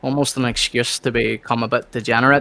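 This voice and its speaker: Recorded dry and close with no echo, a man speaks at a fairly quick pace in a bright, sharp tone. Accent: Irish. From Northern Ireland. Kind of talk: casual discussion.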